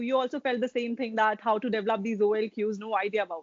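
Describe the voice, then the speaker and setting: A woman talks at a very fast pace. She has a fairly high voice and an Indian accent. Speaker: exam coaching interviewer. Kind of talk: interview. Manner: mixes Hindi and English.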